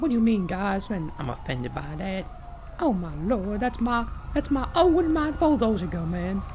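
A speaker uses a put-on character voice with a whiny tone, whiny throughout, at a moderate pace. Clear background noise runs underneath. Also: man, high pitch for a man. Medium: game stream. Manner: panicky, whiny, exclaiming "oh my lord".

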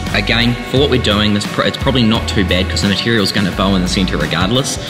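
Clear music plays in the background behind a man. He talks at a very fast pace with ordinary pitch variation. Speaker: presenter. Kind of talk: tutorial. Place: workshop.

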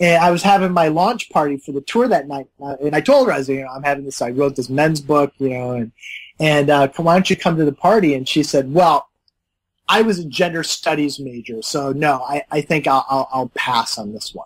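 A man with a Midwestern American accent talks at a fairly quick pace in a fairly high pitch with ordinary pitch variation, in a dry, close sound with no echo. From US Midwest. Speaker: author and men's coach. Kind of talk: interview.

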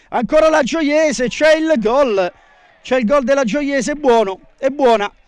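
Fairly slow delivery with very even loudness. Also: man, extremely high pitch for a man, ordinary pitch variation. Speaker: sports commentator. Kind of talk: live sports commentary over match highlights.

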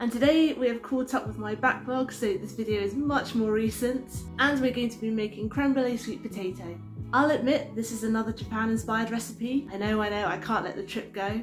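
Clear music plays in the background as a woman talks at a fairly quick pace with ordinary pitch variation. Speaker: cooking channel host. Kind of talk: casual vlog chat. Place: home room. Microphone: camera far.

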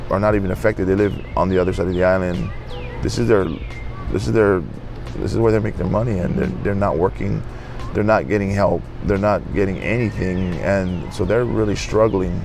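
With music in the background, a man with a very deep, low voice speaks with lively intonation. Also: fairly quick pace, dry sound with no echo. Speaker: interviewee. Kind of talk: interview answer. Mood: somber, reflective. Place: street. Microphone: lapel.

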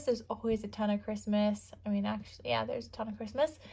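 A woman speaks over a quiet background. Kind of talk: casual vlog chat. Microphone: phone near.

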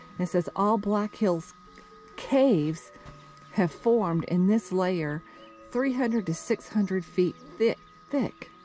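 Over faint background music, a woman speaks at a very slow pace in a dry sound with no echo. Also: long, frequent pauses. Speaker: travel vlogger. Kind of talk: casual vlog chat. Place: open country. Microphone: phone near.

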